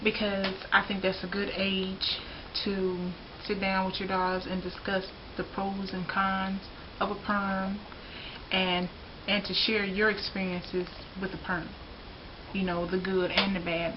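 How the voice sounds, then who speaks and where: A woman with a Southern US accent speaks at a medium pitch in a monotone, flat intonation, going fairly slowly with long, frequent pauses over noticeable background noise. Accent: Southern US drawl. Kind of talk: casual talk to camera. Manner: frank, opinionated.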